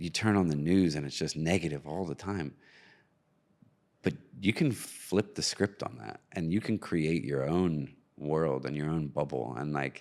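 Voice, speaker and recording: A man with an American accent and a very deep, low pitch at a fairly slow pace, on a very clean recording with a silent background. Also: ordinary pitch variation. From US, New Jersey. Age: 40s. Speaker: filmmaker. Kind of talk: interview.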